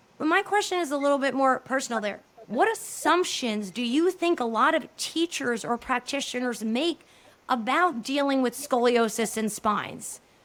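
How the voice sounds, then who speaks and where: A New Jersey accent with lively intonation at a moderate pace, over noticeable background noise. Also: woman, high pitch for a woman. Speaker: podcast host. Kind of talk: interview.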